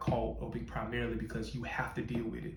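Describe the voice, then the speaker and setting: With audible room echo, a man speaks at a fairly quick pace. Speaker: podcast host, motivational speaker. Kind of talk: motivational talk.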